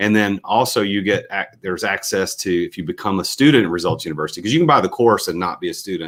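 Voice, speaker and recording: Talking at a very fast pace with hardly any pauses, a man with a slight Southern accent comes through on a very clean recording with a silent background. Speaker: entrepreneur and business coach. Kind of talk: podcast interview.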